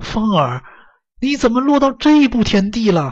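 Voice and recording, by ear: A man puts on a character voice at an extremely high pitch with a slightly husky edge. He talks fairly slowly with big pitch swings.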